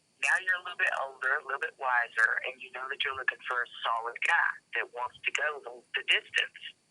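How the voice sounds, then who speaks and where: Someone with a Southern US accent talks at a fairly quick pace. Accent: Southern US accent, noticeable. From US South. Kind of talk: casual chat.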